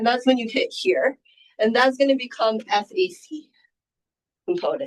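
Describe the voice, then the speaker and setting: A woman at a fairly high pitch and moderate pace, an ordinary speaking voice with lively intonation. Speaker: professor. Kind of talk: lecture.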